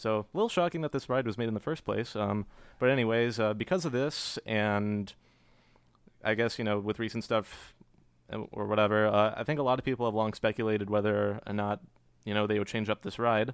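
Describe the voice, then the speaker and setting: In a very clean recording with a silent background, a man with an American accent uses a normal speaking voice with ordinary pitch variation. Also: fairly low pitch for a man, fairly quick pace. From Cary, North Carolina. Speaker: podcast co-host. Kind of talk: casual chat.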